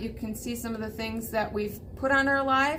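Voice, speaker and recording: The speaker talks at a fairly quick pace. Room echo is audible. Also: woman. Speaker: vintage shop owner. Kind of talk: casual show-and-tell video. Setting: in her shop, crowded new setup. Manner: fast.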